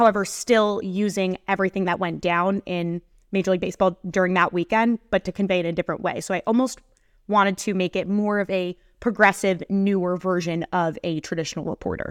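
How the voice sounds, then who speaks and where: Using a normal speaking voice, a woman talks at a fairly quick pace with a medium pitch and fairly even intonation. The sound is dry and close with no echo, a very clean recording with a silent background. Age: 20s. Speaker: sports content creator. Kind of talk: interview.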